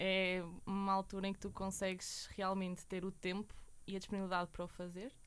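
This woman talks fairly quickly at a medium pitch. The intonation stays monotone and flat. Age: 20s. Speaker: university student. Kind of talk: interview.

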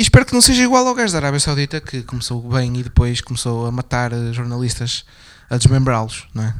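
A man at medium pitch, monotone and flat, going at a fairly quick pace with big swings in loudness. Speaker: political commentary podcast host. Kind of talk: casual political discussion.

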